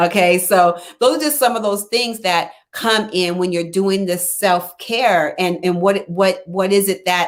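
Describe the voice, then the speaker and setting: A woman's unremarkable speaking voice at a medium pitch, fairly slow, with ordinary pitch variation. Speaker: life coach. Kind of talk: live stream talk.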